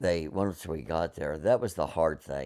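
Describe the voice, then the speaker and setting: In a very clean recording with a silent background, a man with a very deep, low pitch and vocal fry speaks at a moderate pace. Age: 70s. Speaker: Vietnam War veteran. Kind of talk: oral history interview. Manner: halting, with many fillers and restarts.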